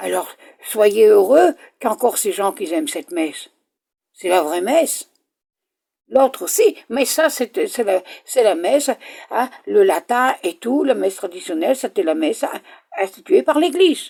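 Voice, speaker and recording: A woman speaks at a fairly slow pace, with very wide swings in pitch. Her pauses are long and frequent. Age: 70s. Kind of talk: personal video message. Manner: halting.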